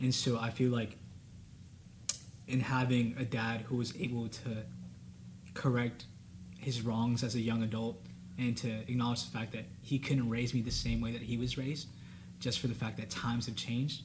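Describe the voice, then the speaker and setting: At a moderate pace and somewhat breathy, the voice stays flat and monotone, with long, frequent pauses and audible room echo. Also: man, medium pitch for a man. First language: Spanish. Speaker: college student panelist. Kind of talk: casual panel discussion.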